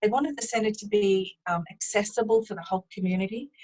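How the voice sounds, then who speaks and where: Speaking in a New Zealand accent, a woman has a fairly high, somewhat breathy voice with ordinary pitch variation, recorded dry and close with no echo. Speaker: business owner, driving assessment specialist. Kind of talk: interview.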